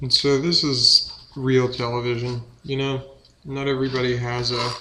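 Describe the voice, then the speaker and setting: Over noticeable background noise, a man with a medium pitch speaks in a monotone, flat intonation. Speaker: home cook. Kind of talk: casual cooking talk to camera. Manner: halting, inconsistent rhythm.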